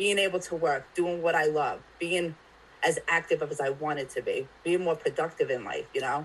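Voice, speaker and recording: A woman speaks at a moderate pace in an unremarkable speaking voice. Her pitch is fairly low and her intonation fairly even. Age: 30s. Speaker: mental health advocate. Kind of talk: casual chat.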